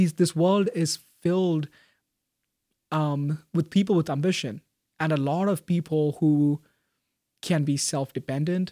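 A man with a fairly high pitch and a dark, mellow tone speaks at a fairly slow pace with fairly even intonation and long, frequent pauses. The recording is very clean with a silent background, dry and close with no echo. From Kerala, India, raised in Bahrain. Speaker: university student. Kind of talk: casual interview.

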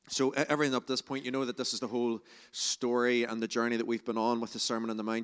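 A man of medium pitch speaks in a Northern Irish accent with monotone, flat intonation. The sound is dry and close with no echo, on a very clean recording with a silent background. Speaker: preacher. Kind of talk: sermon. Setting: church.

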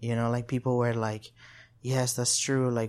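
In a Spanish accent, a man talks at a fairly quick pace and a medium pitch. The recording is very clean, the background silent. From El Salvador. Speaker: community organizer. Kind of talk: interview.

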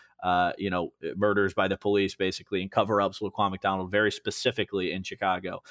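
A man with a Midwestern American accent talks at a fairly quick pace in a fairly low pitch. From western Illinois (Moline). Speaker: political digital media director. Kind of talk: casual interview.

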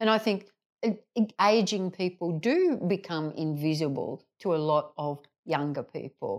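A woman's medium-pitched voice with an Australian accent, at a fairly slow pace, with ordinary pitch variation. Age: 60s. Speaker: GP and mental health clinician, podcast host. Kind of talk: group lunch conversation.

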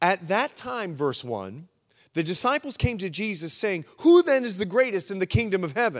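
In a very clean recording with a silent background, a man with a high pitch speaks in an animated tone at a moderate pace, with very wide pitch swings. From Bahamas. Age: 50s. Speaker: pastor. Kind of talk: sermon. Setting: stage with audience.

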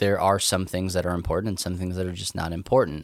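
In a West Texas accent, on a very clean recording with a silent background. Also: man. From West Texas / eastern New Mexico. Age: 30s. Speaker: podcast host, nerd culture missionary. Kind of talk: casual chat.

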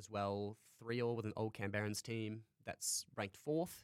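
A man's fairly low voice with an Australian accent, flat and monotone in intonation. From North Queensland, Australia (Townsville). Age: 20s. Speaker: university student and hockey goalkeeper. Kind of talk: interview.

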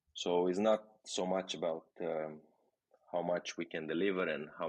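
Man with a Romanian accent, very deep, low pitch, monotone and flat intonation. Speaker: tech product executive. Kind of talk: interview.

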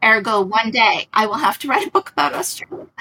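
The speech moves at a fairly quick pace, with a dry, close sound and no echo. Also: woman. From New York City, Queens. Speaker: novelist. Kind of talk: interview.

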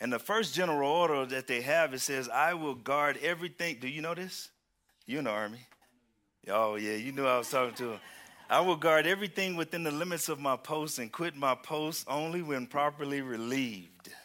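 With a Southern US accent, a man speaks in an animated, bright, sharp tone at a fairly high pitch. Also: ordinary pitch variation, fairly quick pace. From Houston, Texas. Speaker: preacher. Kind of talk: sermon. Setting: church.

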